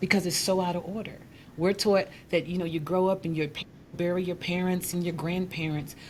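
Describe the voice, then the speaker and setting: A woman speaks at a fairly quick pace in a fairly low, somewhat breathy voice. Her intonation stays monotone and flat. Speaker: life coach. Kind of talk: interview.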